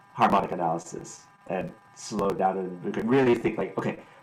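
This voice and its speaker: A man's voice comes with audible echo from the room and noticeable noise behind it. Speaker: concert pianist teaching improvisation. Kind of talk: workshop lecture. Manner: fast; halting, many restarts and fillers.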